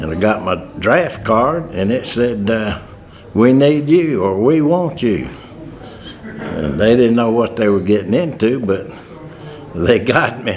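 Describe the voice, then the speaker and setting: With audible room echo and noticeable background noise, a man of medium pitch talks at a fairly slow pace, taking long, frequent pauses and swinging his pitch very widely. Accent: Southern US. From US South, North Carolina. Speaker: war veteran. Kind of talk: testimony.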